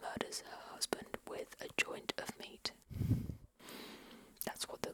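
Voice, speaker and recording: A woman whispers fairly slowly with long, frequent pauses, noticeable background noise behind her. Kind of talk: ASMR book show-and-tell. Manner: whispered.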